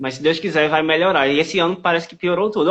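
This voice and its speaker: A man speaks very fast with a northeastern Brazilian accent, his tone animated. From Pernambuco, Brazil (Caruaru). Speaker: live-stream interviewer. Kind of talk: interview.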